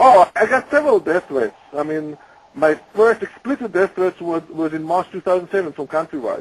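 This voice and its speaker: In a dry, close sound with no echo, a man with a high voice speaks at a moderate pace and with lively intonation. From Israel. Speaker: whistleblower. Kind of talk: interview. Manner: halting.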